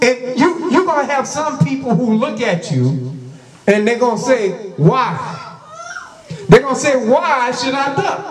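A man's extremely high pitch with very wide pitch swings, a fairly slow pace, and noticeable background noise. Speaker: preacher. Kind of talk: sermon with opening prayer. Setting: church. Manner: fervent, repetitive, exhortative. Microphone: handheld.

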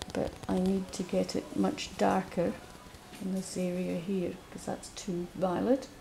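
At a fairly slow pace, a woman speaks over light background noise. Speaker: painting teacher. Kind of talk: tutorial. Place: workshop.

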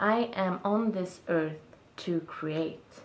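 A woman's fairly low voice in a Swedish accent, at a very slow pace with ordinary pitch variation. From Sweden. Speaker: video blogger. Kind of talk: casual monologue vlog. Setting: self-recorded video. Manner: reflective, halting. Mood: reflective, warm. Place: home room. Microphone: camera far.

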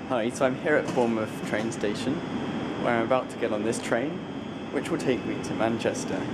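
A man's voice with ordinary pitch variation under loud background noise. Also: fairly quick pace. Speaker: traveller vlogger. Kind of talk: casual vlog chat. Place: station. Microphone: phone near.

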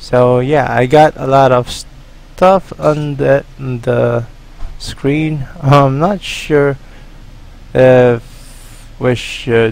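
A man at medium pitch, very slow in pace, with fairly even intonation and long, frequent pauses. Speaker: gaming YouTuber. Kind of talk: gameplay commentary. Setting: solo recording at computer. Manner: halting, filler-heavy.

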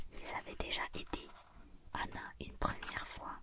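Whispering and soft-spoken, the voice moves at a fairly slow pace against loud background noise. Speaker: storybook reader. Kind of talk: reading a children's story aloud. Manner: soft whispered storytelling, ASMR style.

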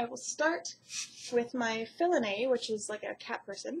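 A somewhat breathy woman speaks over light background noise. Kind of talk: casual vlog chat. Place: home room. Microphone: webcam.

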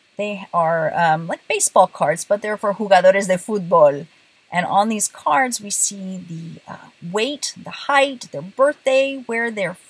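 Somewhat breathy and with lively intonation, a woman speaks at a fairly slow pace in a dry sound with no echo. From bilingual Puerto Rican and southern US home, military family. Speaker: Spanish teacher. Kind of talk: casual talk to camera. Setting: in a car. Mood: warm, friendly. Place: car. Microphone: phone near.

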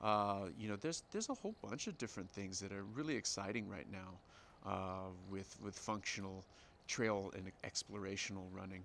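Light background noise accompanies a man at a moderate pace. His fairly low pitch shows ordinary variation. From United States. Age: 40s. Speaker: professional ultra runner. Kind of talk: interview. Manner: halting. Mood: relaxed, friendly.

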